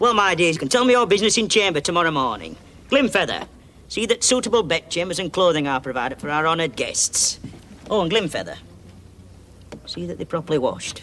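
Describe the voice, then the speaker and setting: Over clear background noise, a man does a gruff, put-on character voice at a high pitch, talking very fast between long, frequent pauses. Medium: audio drama. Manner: gruff, mishears, grumbling.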